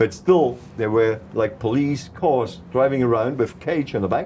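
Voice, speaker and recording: Somewhat breathy and dark, mellow in tone, a man's medium-pitched voice comes at a moderate pace with a slight South African accent. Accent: South African tinge in his English. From East Germany. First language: German. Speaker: political activist. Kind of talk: interview, life story. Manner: halting, non-native phrasing.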